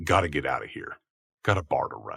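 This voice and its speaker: A man performs a put-on character voice. He moves at a fairly quick pace with big swings in loudness. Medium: read story. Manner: crude, cocky, swearing.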